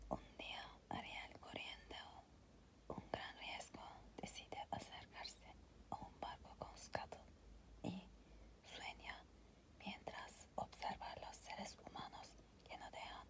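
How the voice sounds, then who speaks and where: Someone whispers at a very slow pace, with long, frequent pauses. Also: woman. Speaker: ASMR storyteller. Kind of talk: ASMR story reading. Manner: soft whispered.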